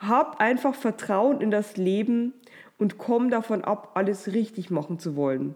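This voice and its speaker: A woman with an ordinary speaking voice, fairly high-pitched, at a fairly slow pace with lively intonation, on a very clean recording with a silent background. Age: 30s. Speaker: podcast host and publisher. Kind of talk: motivational monologue. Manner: warm.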